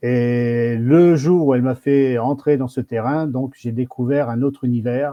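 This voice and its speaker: A man talks in a normal speaking voice at a medium pitch with fairly even intonation. His pace is fairly slow, with hardly any pauses. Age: 60s. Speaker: federation president. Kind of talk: live stream interview.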